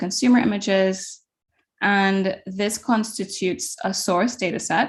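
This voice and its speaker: Somewhat breathy female speech with ordinary movement in pitch. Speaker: computer science researcher. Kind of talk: lecture. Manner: hesitant, many fillers.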